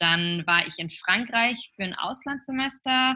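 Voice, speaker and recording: A woman speaking at a very slow pace, with ordinary pitch variation. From northern Germany, near Flensburg. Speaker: startup founder. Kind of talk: interview. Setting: remote recording. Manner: halting, many fillers. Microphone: connection froze briefly.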